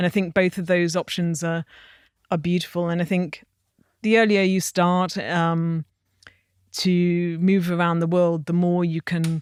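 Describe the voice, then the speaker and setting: In an English accent, the speaker moves at a fairly slow pace with flat, monotone intonation and long, frequent pauses. The recording is very clean with a silent background, and the sound is dry and close with no echo. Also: woman, fairly low pitch for a woman. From England. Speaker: wine industry entrepreneur. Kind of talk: interview conversation.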